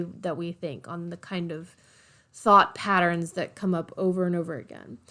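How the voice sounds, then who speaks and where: In a very clean recording with a silent background, a woman with a normal speaking voice speaks at a medium pitch and moderate pace. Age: 30s. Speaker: podcast host and bookkeeper. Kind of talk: casual solo podcast monologue. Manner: conversational, many fillers.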